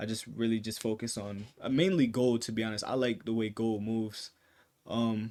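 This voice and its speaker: The speaker is a man with a medium-pitched voice. His intonation stays fairly even. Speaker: day trading YouTuber. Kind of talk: tutorial. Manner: fast; casual, many fillers.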